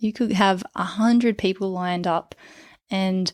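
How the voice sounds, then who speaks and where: In an Australian accent, a woman speaks at a medium pitch. The recording is very clean with a silent background, and the sound is dry and close with no echo. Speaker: clinical psychologist and dating coach. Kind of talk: podcast monologue. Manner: stumbles over words when excited.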